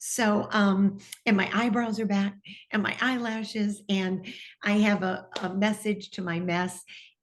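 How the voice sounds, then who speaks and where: A woman with an American accent speaks at medium pitch, somewhat breathy. Her pace is fairly slow and her intonation fairly even. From US Midwest, Detroit, Michigan. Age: 60s. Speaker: TV personality. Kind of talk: interview testimony.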